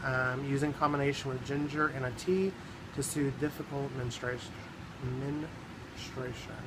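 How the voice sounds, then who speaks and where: Speaking with a Southern US accent, a man with a fairly high voice keeps a moderate pace and fairly even intonation, with audible room echo and noticeable background noise. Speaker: herbalism vlogger. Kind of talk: informational vlog tutorial. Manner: casual, halting with frequent ums.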